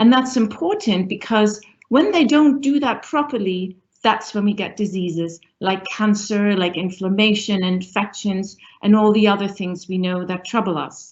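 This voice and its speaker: Somewhat breathy and medium in pitch, a woman's voice moves at a moderate pace with ordinary pitch variation. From northern Germany. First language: German. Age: middle-aged. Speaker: professor, university dean. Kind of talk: panel discussion.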